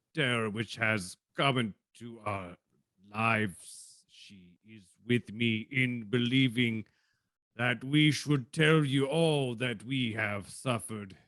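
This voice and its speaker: At a fairly slow pace, a man talks in a put-on character voice. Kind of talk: 1940s radio acting. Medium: stage play. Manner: halting, hesitant, formal.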